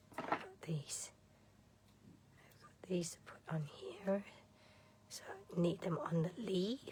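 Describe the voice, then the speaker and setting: Quiet and at a very slow pace, a woman speaks with medium pitch, ordinary pitch variation and big swings in loudness. Long, frequent pauses break up her speech over noticeable background noise. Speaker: card-making demonstrator. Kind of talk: live craft tutorial.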